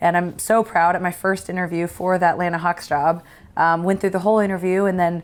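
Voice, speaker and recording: In a very clean recording with a silent background, a woman with an ordinary speaking voice talks at a fairly quick pace and a medium pitch. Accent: American. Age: 30s. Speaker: sports broadcaster. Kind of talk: casual chat.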